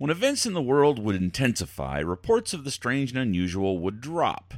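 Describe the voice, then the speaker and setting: Very wide pitch swings at a fairly quick pace on a very clean recording with a silent background. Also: man. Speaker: podcast host. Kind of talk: carnival barker-style showman patter opening a weird-news podcast. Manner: theatrical, hammy carny-barker hype with folksy flourishes; playfully spooky, teasing and conspiratorial.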